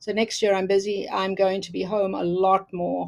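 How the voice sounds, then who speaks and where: This is a woman speaking in a South African accent. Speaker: quilter and teacher. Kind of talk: casual interview.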